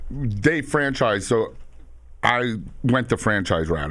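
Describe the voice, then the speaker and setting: A man speaks with lively intonation in a New York accent. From Long Island and Queens, New York. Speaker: entrepreneur, moving business owner. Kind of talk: casual interview.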